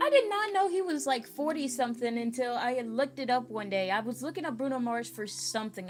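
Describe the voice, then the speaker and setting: Lively intonation marks this woman's fairly high-pitched voice. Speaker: crochet livestreamer. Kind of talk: livestream craft tutorial. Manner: fast; casual, chatty.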